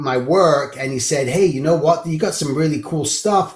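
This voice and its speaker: A man's fairly high-pitched voice at a moderate pace, with ordinary pitch variation. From London, England. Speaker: animation character designer and art teacher. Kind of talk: podcast interview. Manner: conversational, casual storytelling.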